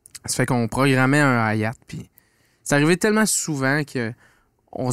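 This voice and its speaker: With a quiet background and a dry sound with no echo, a man in an ordinary speaking voice talks at a moderate pace, his pitch fairly high and his pitch variation ordinary. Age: 20s. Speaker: podcast host. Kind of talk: casual chat. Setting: studio. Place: studio. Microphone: studio mic.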